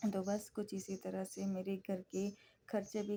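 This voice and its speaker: A dark, mellow tone at a medium pitch marks this woman's voice. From India, Gujarat. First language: Gujarati (speaking Hindi). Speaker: homemaker vlogger. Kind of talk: vlog voice-over. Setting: home voice-over recording. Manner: casual, with fillers.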